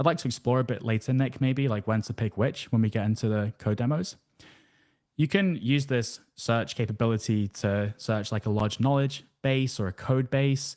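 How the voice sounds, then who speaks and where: In a very clean recording with a silent background and a dry, close sound with no echo, a man speaks at a moderate pace with a medium pitch and ordinary pitch variation. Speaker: workshop host. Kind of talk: live tech workshop presentation. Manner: loud.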